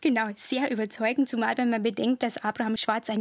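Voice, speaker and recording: A woman talks in an ordinary speaking voice with fairly even intonation. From Bavarian Forest, Bavaria. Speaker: historian. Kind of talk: interview. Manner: formal.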